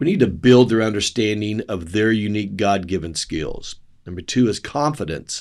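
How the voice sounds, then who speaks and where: A man with a fairly low pitch talks in an ordinary speaking voice, his pitch varying in an ordinary way. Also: moderate pace. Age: 60s. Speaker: doctor. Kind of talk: health podcast talk.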